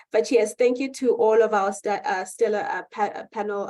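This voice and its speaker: A woman with a South African accent speaks at a moderate pace. Her voice sits at a medium pitch and has a dark, mellow tone. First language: Xhosa. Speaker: panel moderator. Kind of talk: moderated panel discussion. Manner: halting.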